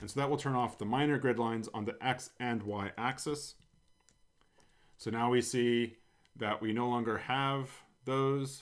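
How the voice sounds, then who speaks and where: With an American accent, a man talks at a fairly slow pace. His pitch is medium and his intonation fairly even. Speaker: coding tutorial host. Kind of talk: tutorial. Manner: casual, with frequent fillers.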